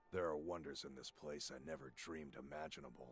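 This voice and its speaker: Putting on a character voice, a man speaks raspy and very deep, low in pitch, at a fairly quick pace. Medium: video game. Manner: warm, conversational.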